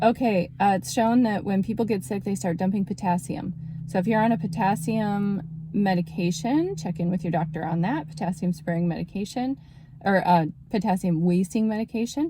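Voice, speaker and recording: A woman talks at a fairly quick pace in a dark, mellow, somewhat breathy tone. Her medium pitch shows ordinary pitch variation. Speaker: naturopathic doctor. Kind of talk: casual health talk video.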